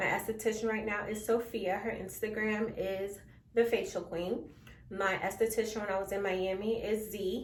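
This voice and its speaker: A fairly high-pitched woman at a moderate pace, with fairly even intonation and audible room echo. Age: 20s. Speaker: beauty vlogger. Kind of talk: casual vlog talk to camera.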